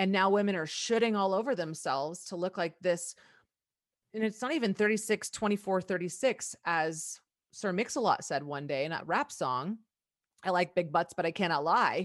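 A woman speaks at a moderate pace in a medium pitch, with lively intonation against a quiet background. She has an ordinary speaking voice. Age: 40s. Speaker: nutrition practitioner and coach. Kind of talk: casual chat.

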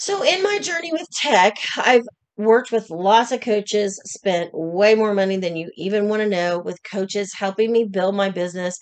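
A woman with an unremarkable speaking voice and an American accent, medium pitch, ordinary pitch variation and a moderate pace. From Oklahoma. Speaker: podcast host and business coach. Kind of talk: solo podcast monologue.

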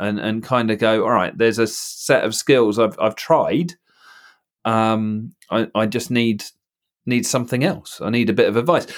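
A man's medium-pitched voice at a moderate pace, a plain, everyday voice. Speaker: theory test trainer and driving instructor. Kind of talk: casual chat. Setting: video call.

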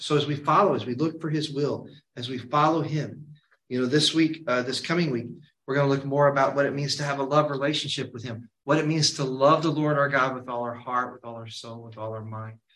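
A man with an American accent and a normal speaking voice talks at a fairly quick pace, fairly high in pitch, with fairly even intonation and big swings in loudness. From Kentucky, US. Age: 50s. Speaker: Bible study leader. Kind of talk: Bible study teaching. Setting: church.

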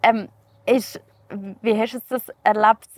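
In a normal speaking voice, a woman talks at a fairly high pitch, with a dry, close sound and no echo. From Switzerland, canton Uri (Erstfeld). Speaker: podcast host. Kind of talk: scripted narration; casual interview. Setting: outdoors.

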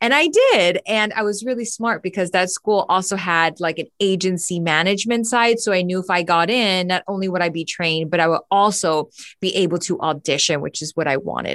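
A woman with an American accent and a plain, everyday voice speaks at a fairly quick pace with hardly any pauses, at a medium pitch with ordinary pitch variation. The recording is very clean with a silent background, and the sound is dry and close with no echo. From Miami, Florida. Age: 30s. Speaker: actress and podcaster. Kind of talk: interview.

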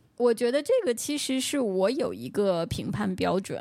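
A woman's unremarkable speaking voice, fairly high in pitch, with lively intonation and a moderate pace. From Beijing. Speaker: podcast host. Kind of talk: casual chat. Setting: remote call.

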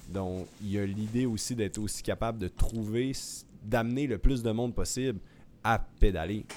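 An ordinary speaking voice from a fairly low-pitched man, with fairly even intonation and a moderate pace, in a very clean recording with a silent background. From Quebec, Saguenay. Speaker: professional cyclist and co-host. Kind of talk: interview.

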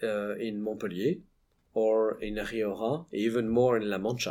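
On a very clean recording with a silent background, a man with a French accent talks at a fairly slow pace and a fairly low pitch. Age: 40s. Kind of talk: interview conversation. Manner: halting, hesitant with fillers.

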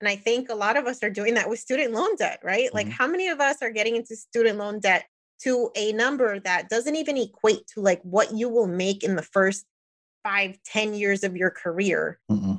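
A woman speaks in an ordinary speaking voice at a fairly quick pace. Her pitch is fairly high, with ordinary pitch variation. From New Jersey, US (Puerto Rican family). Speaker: engineer and personal finance podcaster. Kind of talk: casual interview chat.

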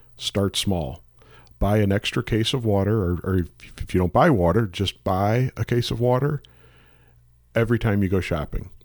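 With a Midwestern American accent, a man talks in a calm tone at a moderate pace, pitched fairly low with ordinary pitch variation and long, frequent pauses. The recording is very clean, with a silent background. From St. Louis, Missouri. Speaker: emergency management director. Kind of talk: radio interview. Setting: studio.

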